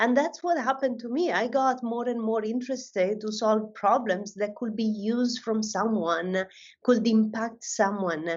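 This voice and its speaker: With an Italian accent, a woman speaks at a moderate pace and a fairly high pitch, using ordinary pitch variation. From Italy. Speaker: AI research director. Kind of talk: panel discussion.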